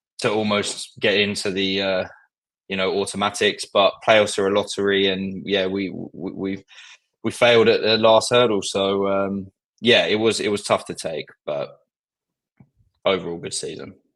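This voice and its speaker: Against a quiet background, the speaker talks at a moderate pace with a strong southern English accent. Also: man. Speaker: football fan guest. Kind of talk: casual chat.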